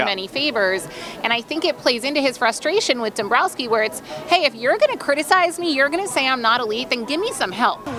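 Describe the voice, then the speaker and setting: Over music in the background, a woman with a high pitch talks at a very fast pace in a raised, projected voice, her pitch swinging very widely. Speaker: sports reporter. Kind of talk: sideline report.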